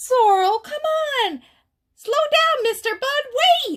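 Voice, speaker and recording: A woman puts on a squeaky character voice at an extremely high pitch. She sounds upbeat and enthusiastic while keeping a fairly slow pace. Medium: read story. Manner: upbeat, enthusiastic.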